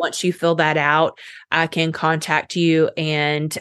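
With an American accent and a normal speaking voice, a woman of fairly low pitch speaks at a fairly slow pace in a dry, close sound with no echo over a quiet background. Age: 30s. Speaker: health coach. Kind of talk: casual chat.

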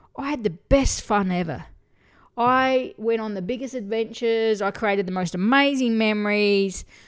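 A woman with an Australian accent talks at a moderate pace in an animated tone and a fairly high pitch. The recording is very clean, with a silent background. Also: ordinary pitch variation. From Australia, country town. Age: 40s. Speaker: podcast host, spiritual coach. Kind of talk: solo podcast monologue.

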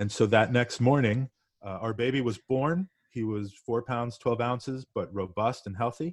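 Over a quiet background, a man talks at a moderate pace in a plain, everyday voice, medium in pitch with ordinary variation, the sound dry and close with no echo. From Northeast US. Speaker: podcast guest. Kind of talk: casual interview.

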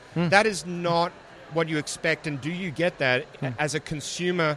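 With noticeable background noise, a man talks at a moderate pace, his pitch fairly high and ordinarily varied. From Australia. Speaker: AI evangelist at tech company. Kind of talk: casual interview. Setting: live at conference event.

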